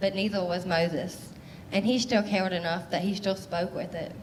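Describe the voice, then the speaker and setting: A woman speaks in a flat monotone, with audible echo from the room. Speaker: mental health storyteller. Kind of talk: spoken word performance. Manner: fast; loud.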